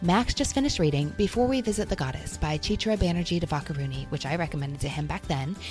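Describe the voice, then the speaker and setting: With music playing in the background, a woman speaks at a very fast pace. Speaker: podcast host. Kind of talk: warm, conversational book talk.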